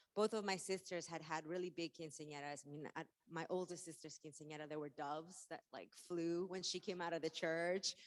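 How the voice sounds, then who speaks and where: A woman's fairly low voice with a Spanish accent, fairly even intonation, a fairly quick pace and hardly any pauses. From Mexico. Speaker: author and activist. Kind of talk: keynote talk.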